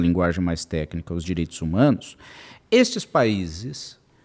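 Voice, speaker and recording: A man speaks with a dark, mellow tone and lively intonation. The recording is very clean, with a silent background. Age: 60s. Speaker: lawyer and legal consultant. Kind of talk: podcast interview. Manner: animated.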